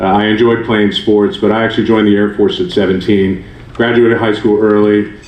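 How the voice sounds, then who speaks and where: Fairly low male speech at a fairly quick clip, amid audible room echo and noticeable background noise. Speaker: sports executive, former military. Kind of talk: panel talk.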